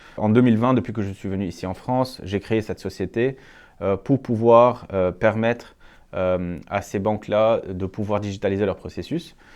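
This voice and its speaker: In a quiet background, a man speaks at a moderate pace with a fairly low pitch and fairly even intonation. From Lebanon. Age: 30s. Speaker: entrepreneur, startup founder. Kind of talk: interview monologue. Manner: frequent hesitations (euh).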